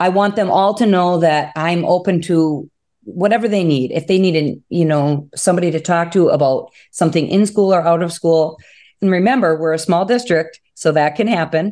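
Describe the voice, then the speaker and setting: With an Upper Peninsula Michigan accent, a woman speaks in a dark, mellow tone at a fairly low pitch. Her pitch varies in an ordinary way. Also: moderate pace, very clean recording, silent background. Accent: Upper Midwest (Yooper). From Upper Peninsula of Michigan. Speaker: first-grade teacher. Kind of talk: interview.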